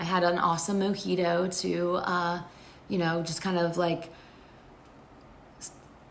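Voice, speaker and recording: Amid audible room echo, a woman speaks fairly slowly at a fairly low pitch, flat and monotone, with long, frequent pauses. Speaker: fan vlogger. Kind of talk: casual vlog recap. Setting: friend's place, temporary spot. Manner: filler-heavy, lots of um and like.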